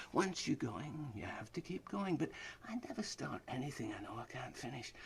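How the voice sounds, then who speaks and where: A man's fairly high voice shows vocal fry and very wide pitch swings. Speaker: spoken word monologuist. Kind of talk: scripted spoken-word monologue. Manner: fast; rapid-fire, rhythmic delivery.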